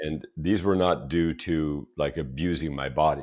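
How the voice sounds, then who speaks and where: On a very clean recording with a silent background, a man with a very deep, low pitch talks with vocal fry and fairly even intonation. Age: 60s. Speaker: wellness entrepreneur. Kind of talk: interview.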